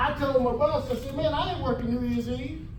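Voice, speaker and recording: With an American accent, a man speaks at a moderate pace while noticeable background noise and audible room echo fill the recording. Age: 70s. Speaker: fraternal lodge speaker, Army veteran. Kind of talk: motivational talk. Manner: conversational, folksy.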